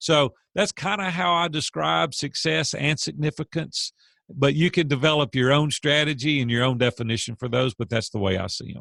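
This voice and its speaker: At a moderate pace and with hardly any pauses, a man speaks with a bright, sharp tone, a fairly high pitch and vocal fry, in a dry, close sound with no echo against a quiet background. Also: lively intonation. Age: 50s. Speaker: business coach and CEO. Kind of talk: interview.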